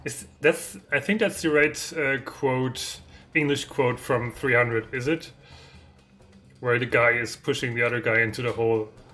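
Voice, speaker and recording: A voice with a German accent speaks at a moderate pace over music in the background. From Germany. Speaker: indie game developer streaming. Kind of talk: live stream dev chat. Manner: halting, hesitant.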